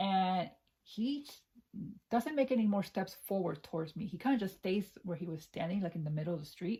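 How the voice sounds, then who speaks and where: Somewhat breathy speech with a dark, mellow tone and lively intonation. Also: woman. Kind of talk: ASMR scary story time, personal anecdote told to camera. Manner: conversational, storytelling.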